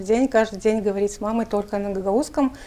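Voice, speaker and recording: With a dark, mellow tone, a woman talks at a fairly high pitch and with fairly even intonation. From Moldova, Gagauzia. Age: 40s. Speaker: journalist and writer. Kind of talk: interview. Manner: hesitant fillers.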